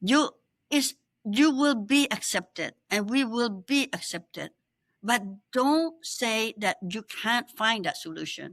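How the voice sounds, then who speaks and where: Speaking very slowly at a fairly high pitch, a woman uses lively intonation, the sound dry and close with no echo. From Cambodia. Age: 70s. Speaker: exiled opposition politician. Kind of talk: interview.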